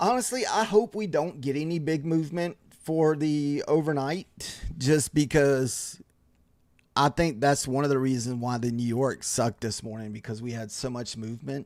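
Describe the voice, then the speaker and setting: Here a man has an unremarkable speaking voice with a fairly high pitch. He talks at a moderate pace with lively intonation. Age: 40s. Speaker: day trader streaming live trades. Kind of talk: casual live-stream chat. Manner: relaxed, conversational with fillers.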